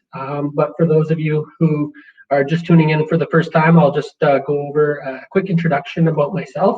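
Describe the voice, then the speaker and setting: A Canadian accent at a moderate pace. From Vancouver Island, British Columbia, Canada. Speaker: entrepreneur and workshop facilitator. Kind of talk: webinar presentation.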